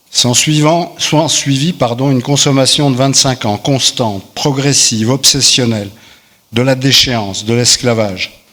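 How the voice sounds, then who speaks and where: At a fairly slow pace, a man with a normal speaking voice talks in a medium pitch with ordinary pitch variation. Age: 60s. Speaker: recovering alcoholic giving testimony. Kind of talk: testimony read aloud.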